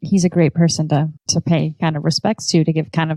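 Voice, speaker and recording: A woman speaks in an ordinary speaking voice, fairly low-pitched, with fairly even intonation and a dry, close sound that has no echo. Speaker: interviewer. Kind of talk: casual interview questions.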